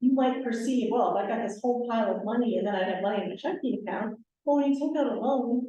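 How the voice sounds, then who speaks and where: Talking at a very fast pace, a woman with a fairly high pitch and ordinary pitch variation is heard with audible room echo. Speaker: commercial bank lender. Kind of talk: workshop presentation.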